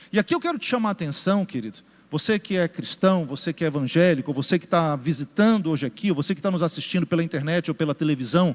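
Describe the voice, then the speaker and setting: A man talks very fast at a high pitch, with ordinary pitch variation. The sound is dry, close and echo-free, very clean with a silent background. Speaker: pastor. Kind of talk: sermon. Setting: church with congregation, also broadcast.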